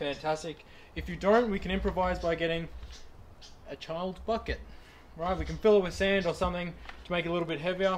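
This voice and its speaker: A man speaks with a high voice. Light background noise can be heard. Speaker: personal trainer. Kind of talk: tutorial. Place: garden.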